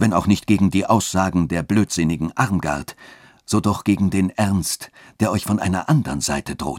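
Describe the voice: What we hear is plain reading aloud.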